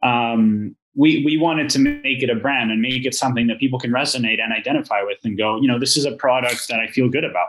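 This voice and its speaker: This man talks at a very fast pace with hardly any pauses. His pitch is medium and his intonation fairly even. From Venezuela. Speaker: vertical farm co-founder, business side. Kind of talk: podcast interview.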